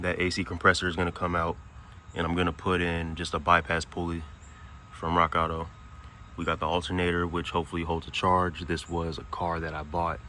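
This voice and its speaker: The man's voice is very deep and low, delivered in a monotone, flat intonation. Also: fairly quick pace. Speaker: car builder, home mechanic. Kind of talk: casual walkthrough of a car build.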